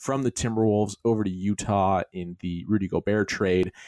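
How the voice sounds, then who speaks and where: A man has an ordinary speaking voice, fairly low in pitch with ordinary pitch variation, recorded with a dry, close sound and no echo. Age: 30s. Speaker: podcast host. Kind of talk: casual chat.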